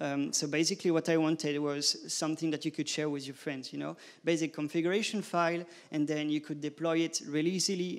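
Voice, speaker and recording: In a very clean recording with a silent background, a man with a French accent and a fairly high pitch speaks with fairly even intonation. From France. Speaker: conference speaker. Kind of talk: conference talk. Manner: halting.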